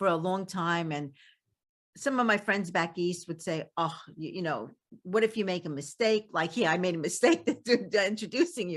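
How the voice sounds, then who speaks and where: Against a quiet background, a woman with a Brooklyn accent speaks at a moderate pace in a fairly low pitch, with ordinary pitch variation. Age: 70s. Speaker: podcast host. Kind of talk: interview conversation. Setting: podcast.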